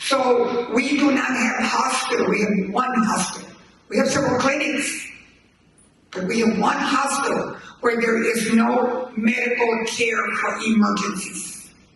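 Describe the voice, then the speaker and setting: Over noticeable background noise and audible room echo, a man with an American accent speaks at an extremely high pitch with fairly even intonation. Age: 80s+. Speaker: community member. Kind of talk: town hall testimony.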